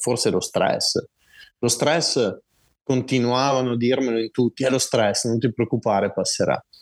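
A man speaks at a moderate pace in a medium-pitched, an unremarkable speaking voice. The recording is very clean with a silent background, and the sound is dry and close with no echo. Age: 40s. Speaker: person with multiple sclerosis, long-distance walker. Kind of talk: interview testimony.

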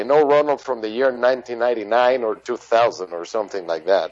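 A man with a Spanish accent speaks at a medium pitch with ordinary pitch variation. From Venezuela. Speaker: rock musician and pharmacist. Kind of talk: interview. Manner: halting.

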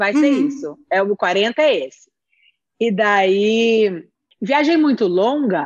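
A woman's fairly high voice with very wide pitch swings at a very slow pace. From interior of São Paulo state, Brazil (Presidente Prudente). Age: 40s. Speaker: TV producer. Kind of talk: casual interview chat.

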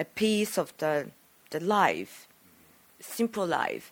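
On a very clean recording with a silent background, a voice with a Japanese accent moves at a very slow pace. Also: woman. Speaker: film director. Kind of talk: interview.

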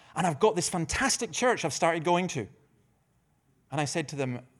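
A man with a Dundee accent speaks at a moderate pace with lively intonation, on a very clean recording with a silent background. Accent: Scottish (Dundee). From Scotland, Dundee. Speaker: pastor. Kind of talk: conference talk. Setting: stage with audience.

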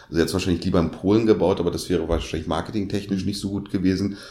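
In a monotone, flat intonation, a man speaks with a very deep, low pitch. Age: 50s. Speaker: podcast co-host. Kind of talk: casual chat.

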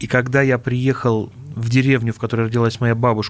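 A man speaks at a fairly quick pace in a medium-pitched voice. It is an unremarkable speaking voice. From Russia, Vladimir region. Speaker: linguist, dialectologist. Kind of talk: radio interview.

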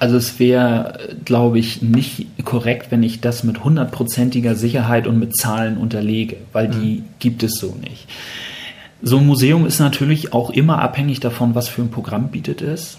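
Moderate-paced speech from a man at a medium pitch, ordinary in its pitch variation, over noticeable background noise. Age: 50s. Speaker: museum managing director. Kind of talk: interview. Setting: in-person at the museum.

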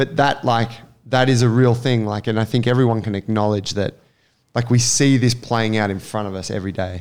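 A man with an Australian accent, medium-pitched, fairly quick, with fairly even intonation. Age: 30s. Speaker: podcast host and gym coach. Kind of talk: casual chat.

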